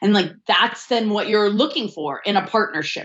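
Speaking at a moderate pace, a woman uses an ordinary speaking voice at a medium pitch. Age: 40s. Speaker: sociologist and intimacy coach. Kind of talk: interview.

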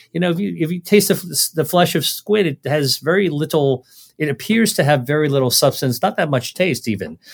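A normal speaking voice from a man, fairly high in pitch, in an American accent, with lively intonation at a moderate pace on a very clean recording with a silent background. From United States, Chinese American family. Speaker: physician and author. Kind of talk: interview conversation.

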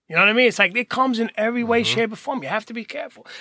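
A man with a New Jersey accent speaks in a raised, projected voice. His bright, sharp tone sounds dry and close with no echo. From Hoboken, New Jersey. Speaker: recovery mentor. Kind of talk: casual chat. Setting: studio.

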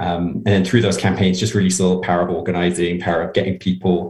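A man's very deep, low voice comes out somewhat breathy, with fairly even intonation. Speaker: progressive campaign practitioner. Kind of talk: casual interview.

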